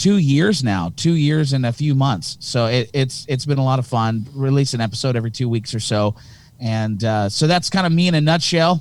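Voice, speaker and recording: A man's medium-pitched voice moves at a moderate tempo, its pitch rising and falling in an ordinary way. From Canada, Hamilton, Ontario. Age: 30s. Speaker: pastor and podcaster. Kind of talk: casual chat. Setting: podcast recording.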